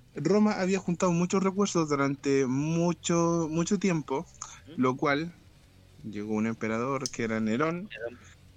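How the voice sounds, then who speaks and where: A man's fairly slow speech in a Chilean accent, with very wide pitch swings. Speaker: podcast co-host. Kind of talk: casual chat.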